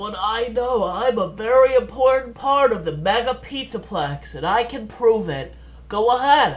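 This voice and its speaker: A man does a put-on character voice at an extremely high pitch. He keeps a moderate pace over light background noise. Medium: read story. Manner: chipper, formal, eager to help.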